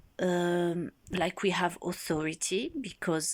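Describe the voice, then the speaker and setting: Against a silent background in a very clean recording, a woman speaks very slowly at a fairly low pitch. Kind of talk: casual monologue to camera.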